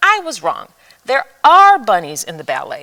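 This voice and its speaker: A woman uses a high-pitched put-on character voice at a moderate pace. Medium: read story. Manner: sniffy, disdainful.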